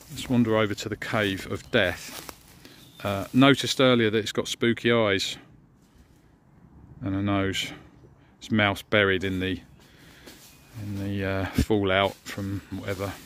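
A man speaks at a fairly low pitch and a fairly slow pace, with fairly even intonation and long, frequent pauses, in a dry sound with no echo over light background noise. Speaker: camping vlogger. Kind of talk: casual vlog chat. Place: forest. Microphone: phone near.

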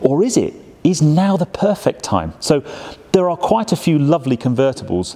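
A man's dark, mellow voice at a moderate pace. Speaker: presenter. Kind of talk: presenter commentary. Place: shop.

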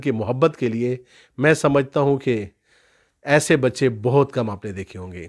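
A man speaks at a fairly slow pace with an ordinary speaking voice and ordinary pitch variation. The background is quiet. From Pakistan. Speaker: YouTube channel host. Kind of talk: scripted monologue; interview. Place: home room. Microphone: handheld.

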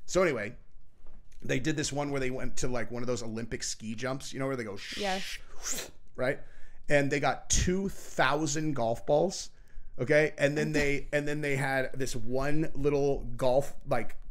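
Moderate pacing from a man, ordinary pitch variation, and a quiet background. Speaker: podcast host. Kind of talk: casual podcast chat. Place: studio. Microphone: studio mic.

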